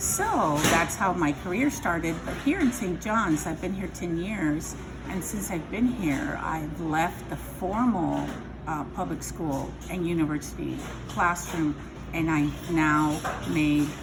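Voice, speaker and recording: A woman with a Spanish accent speaks at a very slow pace, her fairly low pitch showing ordinary variation. Noticeable background noise and audible room echo surround her voice. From Southern California (Imperial Valley), born in Mexico. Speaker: language tutor. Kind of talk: interview.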